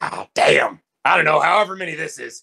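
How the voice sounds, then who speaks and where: A man puts on a raspy character voice. He talks at a fairly quick pace. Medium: actual play. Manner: brash, goofy.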